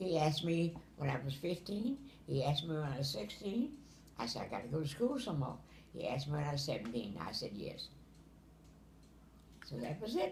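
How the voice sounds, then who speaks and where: A woman with a very deep, low, somewhat breathy voice talks at a fairly quick pace, making very wide pitch swings and taking long, frequent pauses. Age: 80s+. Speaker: grandmother telling family memories. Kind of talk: storytelling, casual family conversation. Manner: casual, frank.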